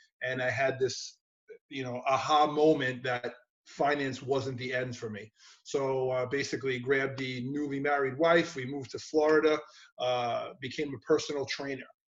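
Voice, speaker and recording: With a New York accent, a man speaks at a medium pitch and moderate pace in a monotone, flat intonation. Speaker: gym owner and personal trainer. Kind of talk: interview.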